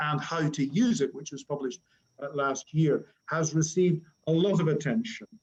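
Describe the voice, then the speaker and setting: A man speaks in a Northern Irish accent at a moderate pace. His pitch is fairly high, with ordinary pitch variation. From Northern Ireland. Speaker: academic conference moderator. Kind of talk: webinar introduction. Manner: hesitant with fillers.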